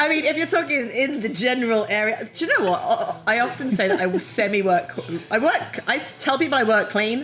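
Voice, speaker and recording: With a strong British accent, a woman speaks fairly quickly in a high pitch, her tone animated and her pitch swinging very widely. Her loudness stays very even, with noticeable background noise behind her. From London, England. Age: middle-aged. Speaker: comedian. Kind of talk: casual chat. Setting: brewery taproom.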